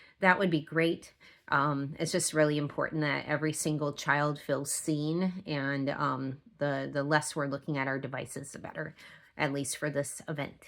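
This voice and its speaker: On a very clean recording with a silent background, a woman talks at a moderate pace. Her pitch is very deep and low, and her intonation is monotone and flat. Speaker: event organizer. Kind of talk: volunteer briefing. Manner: hesitant, many fillers.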